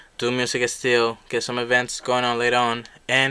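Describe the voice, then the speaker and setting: Speaking with a Spanish accent, a man has a bright, sharp tone at a medium pitch. He keeps a moderate pace on a very clean recording with a silent background. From Colombia. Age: young. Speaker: young musician. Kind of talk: casual interview.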